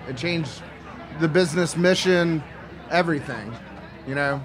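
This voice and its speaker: Over noticeable background noise, the speaker moves at a fairly quick pace with fairly even intonation. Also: man. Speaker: chef and restaurant consultant. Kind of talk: casual chat. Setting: live festival stage with audience.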